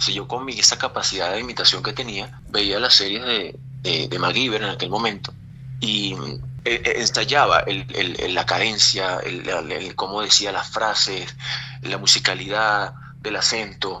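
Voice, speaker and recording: Over noticeable background noise, the speaker moves at a fairly slow pace with ordinary pitch variation. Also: man, medium pitch for a man. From Venezuela. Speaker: voice actor. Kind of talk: interview answer. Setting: radio studio.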